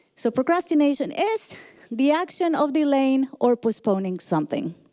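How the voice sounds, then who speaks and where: Lively in intonation, a woman with a Colombian accent speaks at a high pitch with a dark, mellow tone in a very clean recording with a silent background. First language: Spanish. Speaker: motivational speaker and leadership coach. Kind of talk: motivational talk.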